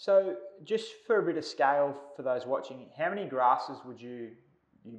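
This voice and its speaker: The speaker has an Australian accent and talks at a fairly quick pace with ordinary pitch variation. Room echo is audible. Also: man. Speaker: turf company presenter; presenter. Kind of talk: interview. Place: studio.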